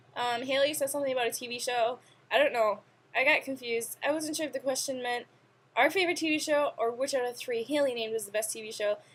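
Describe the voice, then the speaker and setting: Speaking very fast, a woman uses a high voice with ordinary pitch variation. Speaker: vlogger. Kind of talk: casual chat. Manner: animated.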